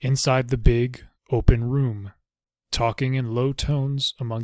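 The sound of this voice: The reading voice is unforced, with fairly even intonation. Nothing much is heard behind it.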